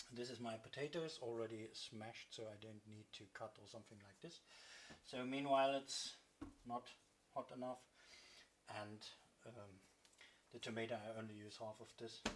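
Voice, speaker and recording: A man with fairly even intonation speaks with big swings in loudness and long, frequent pauses. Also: medium pitch for a man, moderate pace. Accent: German. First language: German. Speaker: cooking vlogger. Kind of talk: cooking tutorial. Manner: halting.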